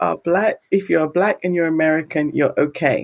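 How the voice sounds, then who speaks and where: A woman with an English accent speaks at a moderate pace and medium pitch in a very clean recording with a silent background. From England. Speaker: researcher and university English teacher. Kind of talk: casual chat.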